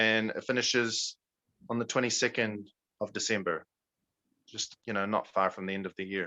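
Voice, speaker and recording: A man with an American accent speaks in a monotone, flat way at a fairly low pitch and a moderate pace, with long, frequent pauses. The sound is dry and close with no echo, and the background is quiet. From New Zealand. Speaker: native English speaker guest in a class. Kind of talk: online Q&A with students. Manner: hesitant, many fillers.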